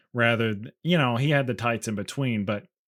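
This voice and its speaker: His pitch sits in the middle range. The man's voice rises and falls in an ordinary way. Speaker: comic book podcast co-host. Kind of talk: casual chat. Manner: halting, with filler noises.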